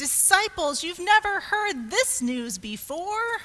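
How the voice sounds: Slowly, a woman performs a put-on character voice at an extremely high pitch, bright and sharp in tone, with big pitch swings.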